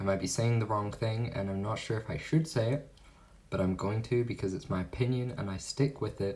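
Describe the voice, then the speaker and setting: A man speaks with a somewhat breathy voice. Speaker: vlogger. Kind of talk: casual talk to camera.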